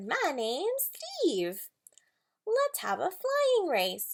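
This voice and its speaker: Using a put-on character voice, a woman speaks at a very slow pace and an extremely high pitch. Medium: read story.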